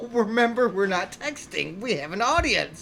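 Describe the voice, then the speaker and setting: A woman speaks loudly over noticeable background noise. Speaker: army veteran, podcast co-host. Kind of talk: casual chat. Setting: live stream on camera with guests.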